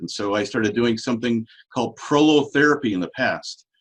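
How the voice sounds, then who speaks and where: A man's unremarkable speaking voice at medium pitch, fairly quick in pace, with ordinary pitch variation. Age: 60s. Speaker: regenerative medicine doctor. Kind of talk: interview.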